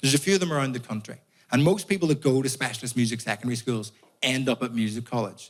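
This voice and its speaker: Very fast speech from a man with a Northern Irish accent. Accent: Northern Irish (Belfast). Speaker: comedian. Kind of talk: stand-up.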